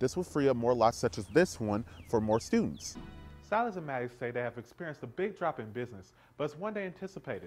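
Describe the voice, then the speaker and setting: Over music in the background, a man speaks at a very fast pace with very wide pitch swings. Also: medium pitch for a man. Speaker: broadcast journalist. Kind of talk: TV news report.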